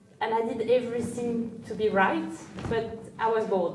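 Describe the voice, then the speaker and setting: A woman with a French accent speaks at a fairly high pitch in a monotone, flat intonation. Noticeable background noise and audible room echo are present. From France. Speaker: CEO, entrepreneur. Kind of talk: interview. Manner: hesitant, many fillers.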